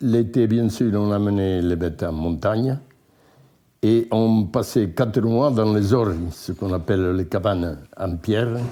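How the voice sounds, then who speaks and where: With a dark, mellow tone, a man speaks fairly slowly at a fairly low pitch, his pitch varying in an ordinary way. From France, Ariège (Vicdessos valley). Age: 80s+. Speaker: retired mountain farmer and former utility worker. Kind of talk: life-story interview. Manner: halting, with repetitions.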